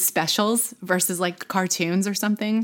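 A woman with an American accent speaks at a moderate pace in a medium-pitched voice, an ordinary speaking voice. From Texas, Plano (Dallas area). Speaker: former TV news anchor and influencer. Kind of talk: casual interview chat.

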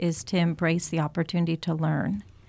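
A woman speaks at a fairly quick pace, the sound dry and close with no echo. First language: Italian. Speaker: singer and actress. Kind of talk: radio interview.

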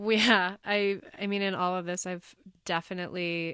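A woman speaks with an American accent at a fairly low pitch. Her intonation stays fairly even. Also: very clean recording, silent background. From Bozeman, Montana. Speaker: podcast host and wedding cake baker. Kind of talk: casual interview.

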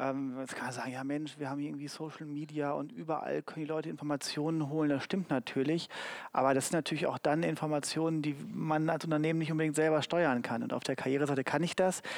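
Very fast speech comes from a man with a fairly high pitch. His intonation is fairly even, and the recording is very clean with a silent background. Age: 40s. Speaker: HR marketing manager. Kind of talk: live panel talk. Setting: stage with audience.

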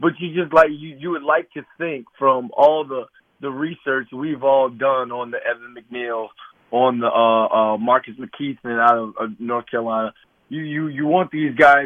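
A man's plain, everyday voice at medium pitch and a moderate pace. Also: ordinary pitch variation. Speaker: former NFL player and sports media host. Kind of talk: radio interview.

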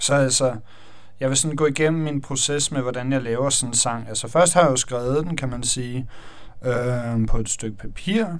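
A man speaks at a moderate pace with a medium pitch and ordinary pitch variation. Room echo is audible. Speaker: electronic music producer. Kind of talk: tutorial. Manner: halting.

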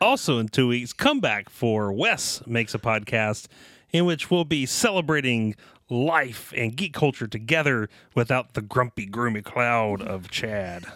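Bright and sharp in tone, a man with a Southern US accent uses lively intonation. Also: medium pitch for a man, fairly slow pace. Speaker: podcast co-host. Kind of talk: casual chat.

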